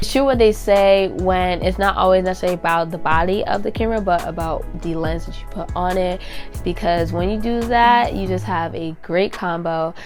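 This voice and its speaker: A woman talks at a moderate pace with hardly any pauses. Music plays in the background. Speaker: digital content creator. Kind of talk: casual talk to camera.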